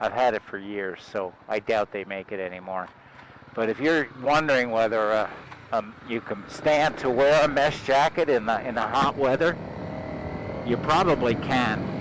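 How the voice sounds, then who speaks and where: Noticeable background noise runs through the clip. A man talks at a moderate pace. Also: medium pitch for a man, ordinary pitch variation. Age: 60s. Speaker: motorcycle vlogger. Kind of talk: casual riding vlog monologue. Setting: riding a motorcycle outdoors. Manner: casual with hesitations and fillers.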